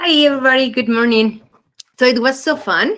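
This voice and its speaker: Ordinary pitch variation from a woman, moderate in pace. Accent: Spanish. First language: Spanish. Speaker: mentor in training. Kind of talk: workshop participant sharing feedback.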